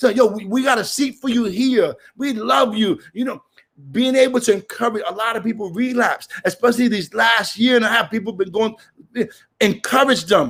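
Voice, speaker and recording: Loud and animated, a man speaks at an extremely high pitch and a moderate pace with ordinary pitch variation. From Brooklyn, New York (Puerto Rican). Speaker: recovery meeting speaker. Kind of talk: recovery share.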